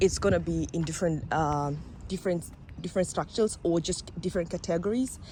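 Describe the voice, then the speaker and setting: A woman with a non-native accent and vocal fry talks at a moderate pace, her fairly low pitch showing ordinary variation. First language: not English. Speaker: vlogger. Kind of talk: casual vlog. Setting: outdoors.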